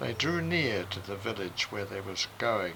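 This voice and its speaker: Male speech in an Australian accent. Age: 80s+. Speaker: retired minister and author. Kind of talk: reading aloud.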